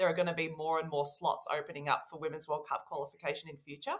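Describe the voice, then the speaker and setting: Speaking with an Australian accent, a woman has a fairly low pitch and a bright, sharp tone. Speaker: podcast co-host. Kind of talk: casual chat.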